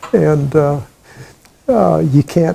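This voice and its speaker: Lively intonation marks a man speaking with an American accent. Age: 80s+. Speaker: veteran. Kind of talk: oral history interview. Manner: halting.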